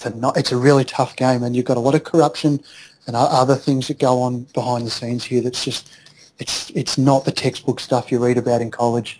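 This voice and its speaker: A man with an Australian accent speaks at a fairly quick pace, his medium-pitched voice held in a monotone, flat intonation. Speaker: accountant and entrepreneur. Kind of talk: interview.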